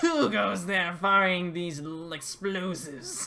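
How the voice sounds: A put-on character voice sits at a middle pitch and moves at a fairly slow pace. Light background noise is present.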